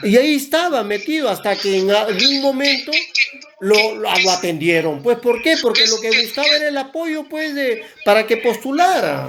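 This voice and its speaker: At a moderate pace, a man talks at an extremely high pitch with very wide pitch swings and noticeable background noise. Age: 60s. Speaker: environmental organization director. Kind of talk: interview. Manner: halting, frequent self-corrections.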